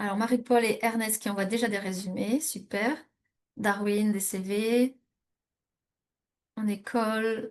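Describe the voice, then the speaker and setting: Speaking very slowly, a woman leaves long, frequent pauses. Her fairly high voice stays monotone and flat. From France, Normandy. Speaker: immigration coach. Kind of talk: webinar presentation. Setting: live online webinar. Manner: hesitant, many fillers.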